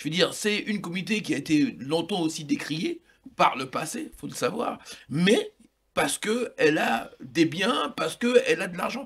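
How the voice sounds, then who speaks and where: Speaking at a moderate pace in a high voice, a man makes very wide pitch swings and big swings in loudness. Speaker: talk show panelist. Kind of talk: heated debate.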